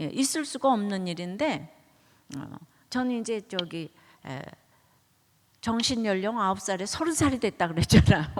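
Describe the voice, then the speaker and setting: At a moderate pace, a woman talks with a medium pitch and very wide pitch swings. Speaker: pastor. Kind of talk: sermon. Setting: church. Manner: conversational, anecdotal.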